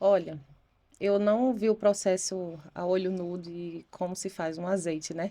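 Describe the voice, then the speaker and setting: Fairly slowly and with fairly even intonation, a woman talks in a dark, mellow tone. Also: medium pitch for a woman. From Brazilian Northeast, Recife, Pernambuco. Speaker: real estate agent. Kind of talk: interview testimony.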